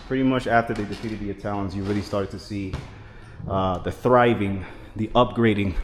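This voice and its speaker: Man with a fairly low pitch, fairly quick pace, and fairly even intonation. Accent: New York. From New York. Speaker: travel vlogger. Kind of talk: travel vlog walkthrough. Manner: fast.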